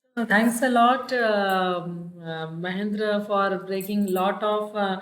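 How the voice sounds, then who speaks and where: A woman with an Indian accent talks at a very slow pace in a medium pitch with fairly even intonation, and the room echo is audible. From Hindi-speaking northern India. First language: Hindi. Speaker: university public relations officer, host. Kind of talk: interview conversation. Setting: video call. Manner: hesitant, many fillers.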